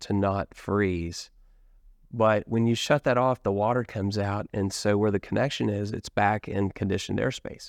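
Against a quiet background, a man with an American accent and a plain, everyday voice speaks at a moderate pace and fairly low pitch, with a dry, close sound with no echo. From US Midwest. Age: 50s. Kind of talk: casual interview.

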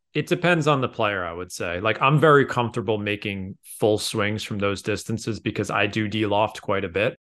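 With a quiet background, a man with an unremarkable speaking voice talks at a moderate pace with hardly any pauses, in a fairly low pitch with ordinary pitch variation. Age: 30s. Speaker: golf author and blogger. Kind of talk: casual interview.

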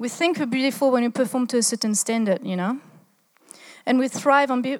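With a French accent and fairly even intonation, the voice comes through in a very clean recording with a silent background. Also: woman. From France. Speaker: church speaker. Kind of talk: sermon. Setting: stage with audience.

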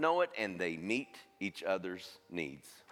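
A man speaks with an American accent and very wide pitch swings. Vocal fry runs through his voice. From US. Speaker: charity director, former pastor. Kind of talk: appeal talk. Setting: church stage with congregation.

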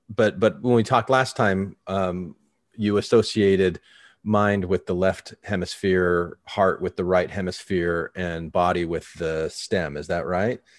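In a dry, close sound with no echo, a man with an American accent speaks fairly slowly at a very deep, low pitch, with ordinary pitch variation. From Arizona, Tempe. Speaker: podcast host. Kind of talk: interview.

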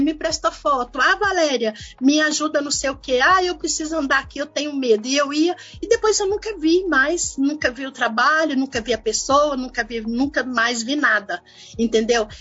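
A woman at a high pitch, with lively intonation and a moderate pace. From Belo Horizonte, Brazil. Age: 50s. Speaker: community activist and photographer. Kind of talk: interview.

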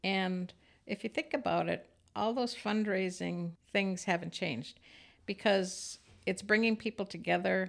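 This woman's medium-pitched voice carries vocal fry and ordinary pitch variation, captured in a very clean recording with a silent background. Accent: Upper Midwest. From Minnesota. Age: 60s. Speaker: retired communications worker and former business owner. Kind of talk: interview.

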